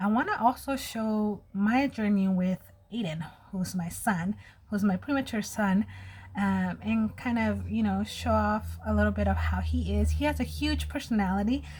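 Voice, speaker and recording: The speaker is a woman at a moderate pace. She has an American accent. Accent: Mexican American accent at times. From US, Mexican American family. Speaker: beauty vlogger. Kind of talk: casual get-ready-with-me vlog.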